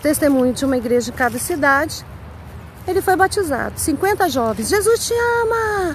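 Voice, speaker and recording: An extremely high-pitched female voice with very wide pitch swings, against noticeable background noise. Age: 60s. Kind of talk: testimony. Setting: outdoors walking her dog.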